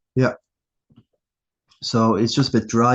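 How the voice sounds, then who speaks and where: A man speaks with an Irish accent. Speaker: fantasy football podcaster. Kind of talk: casual solo review. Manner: casual, halting.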